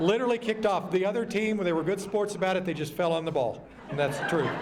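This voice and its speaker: With audible room echo and noticeable background noise, a man with a Texas accent talks in a high-pitched, animated tone. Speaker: emcee at luncheon. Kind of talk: banquet speech. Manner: fast.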